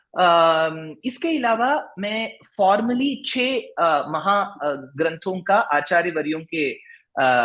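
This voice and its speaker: In a Tamil accent, a man speaks with a bright, sharp tone and very wide pitch swings. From South India, Bengaluru. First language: Tamil (speaking Hindi). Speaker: religious discourse speaker and author. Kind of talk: interview. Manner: halting, many fillers.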